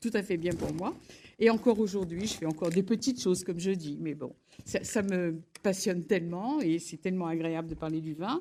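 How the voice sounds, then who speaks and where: A woman's dark, mellow tone with lively intonation, on a very clean recording with a silent background. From Lyon area, France. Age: 80s+. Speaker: honoree, former wine bar owner. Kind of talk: impromptu acceptance speech. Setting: public ceremony with audience. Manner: halting, many restarts.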